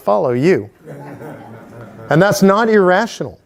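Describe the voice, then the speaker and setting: A loud, high-pitched man's voice with an American accent. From Texas. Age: 60s. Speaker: political activist. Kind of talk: town hall speech.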